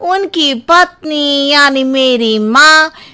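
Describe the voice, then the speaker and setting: A female-sounding, cartoonish character voice, pitched high for a woman. The delivery is very slow. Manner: rambling, roundabout.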